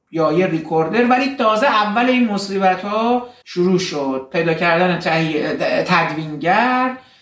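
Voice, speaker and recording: Audible room echo and noticeable background noise surround a man's voice. He speaks at a high pitch and a moderate pace, with lively intonation. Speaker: dentist and film podcaster. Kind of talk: personal narrative.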